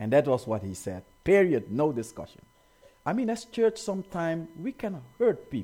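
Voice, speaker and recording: This man has a warm yet dark, mellow tone and a fairly high pitch. He talks at a moderate pace with very wide pitch swings. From Africa, rural village. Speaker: pastor. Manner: warm, earnest preaching with rhetorical questions to the congregation; occasional hesitations and repeated words.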